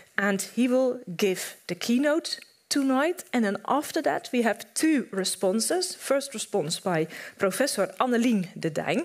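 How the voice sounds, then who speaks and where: In a quiet background, a woman talks at a fairly slow pace with very even loudness. Her voice is high-pitched and makes very wide pitch swings. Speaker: event moderator and history professor. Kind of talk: moderating a panel discussion. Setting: stage with audience. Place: stage. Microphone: headset.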